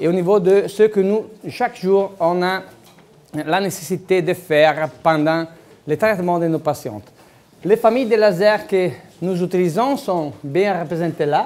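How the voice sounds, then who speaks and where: The man speaks at a fairly slow pace with a high pitch and ordinary pitch variation. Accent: Italian. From Italy. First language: Italian (speaking French). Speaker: dentist lecturer. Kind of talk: lecture. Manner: halting, many hesitations.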